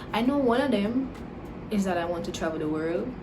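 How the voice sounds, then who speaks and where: Amid noticeable background noise and audible room echo, a woman with a medium-pitched voice speaks with lively intonation. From Jamaica and Dominica. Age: 20s. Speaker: YouTuber, natural hair vlogger. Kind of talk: casual Q&A vlog. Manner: relaxed, conversational.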